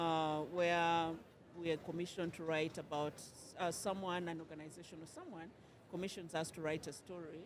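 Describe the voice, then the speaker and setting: Her fairly low voice stays monotone and flat as this woman talks at a fairly quick pace. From Uganda. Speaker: poet and writer. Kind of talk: interview. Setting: book fair. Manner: halting, many fillers and repeats.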